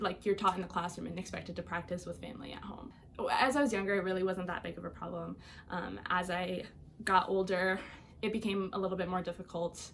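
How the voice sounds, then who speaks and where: Amid noticeable background noise, a woman talks very fast at a medium pitch with fairly even intonation and big swings in loudness. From Iowa, US Midwest. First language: Albanian. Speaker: college student. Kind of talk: personal interview story. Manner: casual with many fillers.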